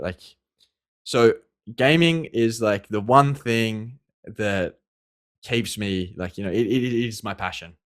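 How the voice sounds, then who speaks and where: In an Australian accent, a man speaks fairly slowly with a fairly low pitch. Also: very clean recording, silent background. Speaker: esports pro player. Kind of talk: interview. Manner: halting, many fillers and repeats.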